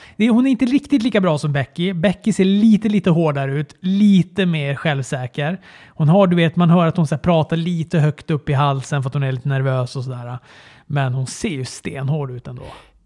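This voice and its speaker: A man with a dark, mellow tone talks at a moderate pace, the sound dry and close with no echo. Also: lively intonation. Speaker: wrestling podcast co-host. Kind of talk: casual chat.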